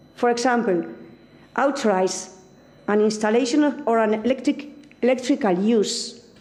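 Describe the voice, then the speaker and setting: Amid audible room echo, a woman with a fairly high voice speaks at a fairly slow pace with ordinary pitch variation. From Spain. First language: Spanish. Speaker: academic speaker on energy law. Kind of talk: conference talk.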